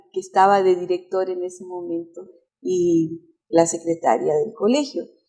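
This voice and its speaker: A woman's plain, everyday voice, fairly slow in pace, with ordinary pitch variation. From Chile. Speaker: pastor and music teacher. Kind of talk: interview.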